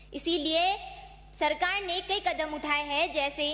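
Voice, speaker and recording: A woman projects a raised voice at an extremely high pitch. Her intonation stays fairly even. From Rajasthan, Pali district. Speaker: youth parliament speaker. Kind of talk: parliamentary speech. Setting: assembly chamber. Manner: formal.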